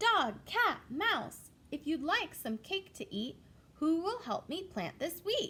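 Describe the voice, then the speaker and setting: Using a put-on character voice, a woman speaks at an extremely high pitch with very wide pitch swings and a fairly slow pace. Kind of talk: bedtime story. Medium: read story. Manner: polite, old-fashioned phrasing.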